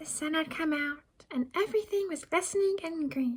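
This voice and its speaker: At a moderate pace, a woman performs a squeaky, put-on character voice at an extremely high pitch. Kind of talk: bedtime story. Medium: read story. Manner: warm, chatty, giggly.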